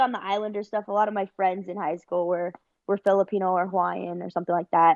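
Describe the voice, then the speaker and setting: With a Californian accent, a woman speaks in a dry, close sound with no echo against a quiet background. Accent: California. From Northern California, Bay Area. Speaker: wrestler. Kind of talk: interview. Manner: casual.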